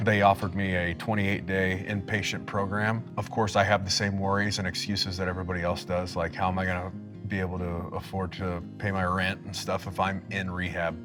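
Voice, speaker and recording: Monotone, flat intonation at a fairly quick pace, with hardly any pauses and music in the background. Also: man, very deep, low pitch for a man. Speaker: army veteran. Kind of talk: interview answer. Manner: casual, reflective.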